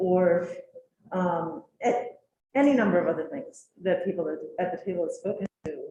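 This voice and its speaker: Somewhat breathy, medium-pitched female speech with a dark, mellow tone. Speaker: educator on a task force. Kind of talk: committee meeting discussion.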